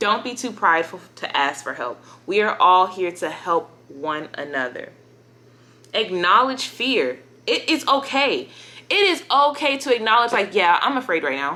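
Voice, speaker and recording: The pitch swings very widely, with vocal fry. The tone is bright and sharp. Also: woman, fairly high pitch for a woman, moderate pace. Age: 20s. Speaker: lifestyle YouTuber. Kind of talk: motivational talk to camera.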